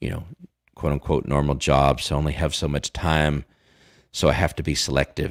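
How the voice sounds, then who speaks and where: A man with an American accent speaks in a very deep, low pitch with vocal fry and monotone, flat intonation. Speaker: crypto live streamer. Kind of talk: live stream Q&A. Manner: casual, hesitant with many fillers.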